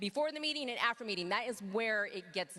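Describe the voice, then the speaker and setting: A woman's medium-pitched voice, energetic and very fast. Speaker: network marketing team leader. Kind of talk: motivational talk on stage.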